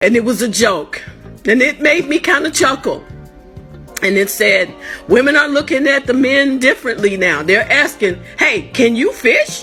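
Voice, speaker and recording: A woman's raised, projected voice with an American accent, high pitch and very wide pitch swings, at a moderate pace and very even loudness, with music in the background. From United States. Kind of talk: impassioned personal talk.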